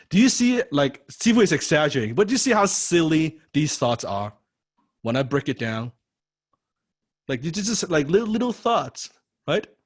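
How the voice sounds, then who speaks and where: With a non-native accent, a man speaks in an animated tone with a fairly high pitch, very wide pitch swings and long, frequent pauses. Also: moderate pace. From Chinese heritage. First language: not English. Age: 30s. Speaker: copywriting coach. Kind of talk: online class lecture. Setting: online video class.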